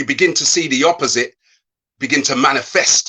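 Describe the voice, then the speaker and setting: A man with a strong English accent speaks at a moderate pace. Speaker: motivational speaker. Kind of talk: online interview. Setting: live video call. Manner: hesitant, many fillers and repeats.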